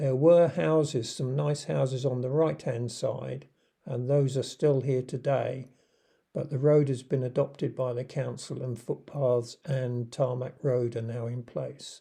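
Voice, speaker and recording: The voice is somewhat breathy, with a dark, mellow tone. It moves at a fairly slow pace with ordinary pitch variation. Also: man, medium pitch for a man. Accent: southern English. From southern England, Surrey. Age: 70s. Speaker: retired vlogger. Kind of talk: video narration.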